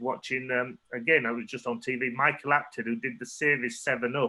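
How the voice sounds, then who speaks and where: A man speaks with a Yorkshire accent. His pitch is medium and his pace fairly quick. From northern England, Leeds. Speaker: photographer. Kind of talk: artist talk Q&A. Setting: online talk.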